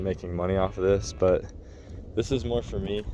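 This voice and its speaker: At a very fast pace, a man talks with a very deep, low pitch. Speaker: military service member and DIY ramp builder. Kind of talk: casual vlog narration. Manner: monotone.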